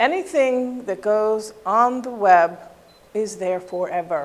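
The pace of this woman's speech is fairly slow. Her pitch moves in an ordinary way. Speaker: presenter, instructor. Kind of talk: lecture. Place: classroom.

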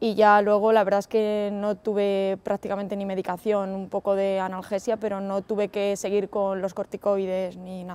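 In a dark, mellow tone, a woman speaks at a moderate pace with monotone, flat intonation and hardly any pauses. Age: 20s. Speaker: physiotherapist and stroke survivor. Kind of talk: testimony. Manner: hesitant, many fillers. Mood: calm, reflective. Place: garden.

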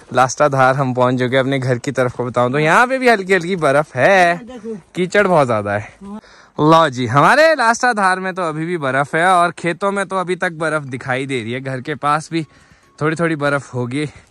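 A man talks with a fairly high pitch and lively intonation. His tone is bright and sharp. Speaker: vlogger. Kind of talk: vlog narration. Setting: outdoors in snowy village.

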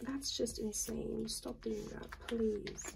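The speech comes at a very slow pace. Light background noise sits behind it. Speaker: collector vlogger. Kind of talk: casual vlog chat. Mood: light, amused. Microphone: phone near.

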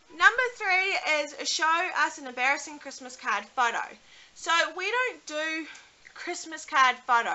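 In a New Zealand accent, a woman speaks at a fairly slow pace and an extremely high pitch. Her voice shows very wide pitch swings and big swings in loudness. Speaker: YouTuber, mother; vlogger. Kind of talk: casual vlog talk to camera. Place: home room. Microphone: webcam.

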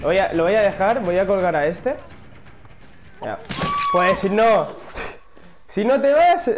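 Music plays in the background as a man with a high pitch and lively intonation speaks at a very slow pace with long, frequent pauses and audible room echo. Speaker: gaming youtuber. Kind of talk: gameplay commentary. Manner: animated.

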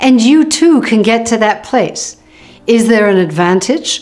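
A woman's fairly slow speech over faint background music. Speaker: dental health educator. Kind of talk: educational explainer to camera. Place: home room.

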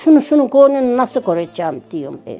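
Music sounds in the background as a woman speaks at a moderate pace. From central Anatolia, Yozgat. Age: 70s. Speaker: village widow telling life story. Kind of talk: life story interview.

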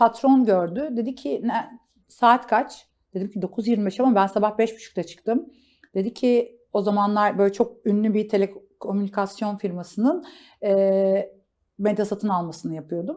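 The voice has a dark, mellow tone, moving at a very slow pace with ordinary pitch variation. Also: woman, fairly high pitch for a woman. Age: 40s. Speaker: marketing agency founder. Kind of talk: interview. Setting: office.

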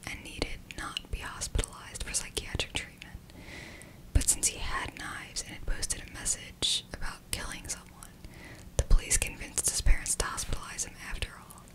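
Soft-spoken whispering from a woman at a fairly quick pace, over loud background noise. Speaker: video host. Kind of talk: true crime storytelling narration. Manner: soft close-mic ASMR whisper. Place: home room. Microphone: studio mic.

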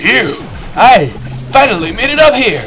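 A put-on character voice, fairly high in pitch, at a moderate pace over clear background noise. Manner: out of breath, relieved.

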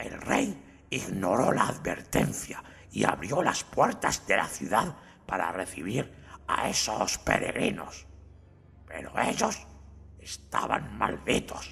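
At a fairly slow pace, a man with a medium pitch speaks in a shaky voice. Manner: nervous, stammering.

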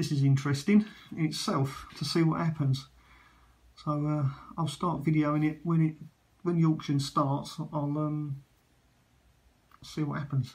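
With audible room echo, a man speaks at a moderate pace in a fairly high pitch, his slightly mellow tone showing little pitch movement.

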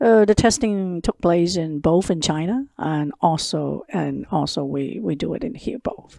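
A woman with a Cantonese accent speaks at a fairly slow pace, with big swings in loudness. The background is quiet and the sound is dry with no echo. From Hong Kong. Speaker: lighting company founder; guest. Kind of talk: interview. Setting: her office. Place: meeting room.

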